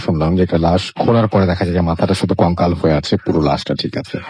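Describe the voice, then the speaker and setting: A man talks with a very deep, low pitch. Noticeable background noise can be heard. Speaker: radio show host. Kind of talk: radio host interview, conversational.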